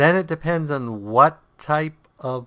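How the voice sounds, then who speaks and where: Bright and sharp in tone, a man's voice moves with ordinary pitch variation. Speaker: gaming video creator. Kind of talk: game tutorial with commentary. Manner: casual, thinking aloud.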